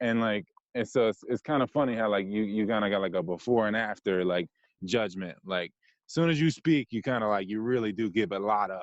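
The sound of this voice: A man's fairly low voice with an American accent, ordinary pitch variation and a fairly quick pace, in dry, close sound with no echo.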